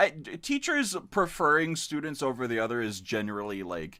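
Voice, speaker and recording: A man's voice with very wide pitch swings. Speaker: podcast host. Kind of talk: casual chat. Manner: halting.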